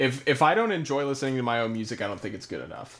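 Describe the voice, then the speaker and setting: A man speaks at a medium pitch. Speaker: musician and producer. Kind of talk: live stream Q&A. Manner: halting, many fillers.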